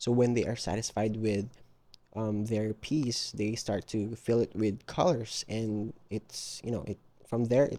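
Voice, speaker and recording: Speaking at a fairly slow pace, a man has a medium pitch and a dark, mellow tone. He talks with a non-native accent. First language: not English. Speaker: digital artist. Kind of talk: casual voiceover narration of art process. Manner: hesitant, many filler ums; casual, repetitive phrasing.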